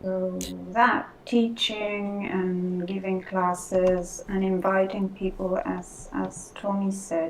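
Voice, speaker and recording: Very slowly and in a monotone, flat delivery, a woman with a non-native accent speaks at a medium pitch over noticeable background noise. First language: Spanish. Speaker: Second Life role player. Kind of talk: casual chat. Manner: halting.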